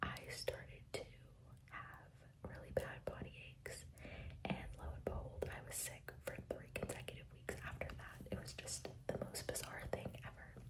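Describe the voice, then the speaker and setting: Whispering at a moderate pace, a woman speaks. Noticeable background noise is present. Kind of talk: ASMR whisper ramble to camera. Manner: whispered; casual, chatty.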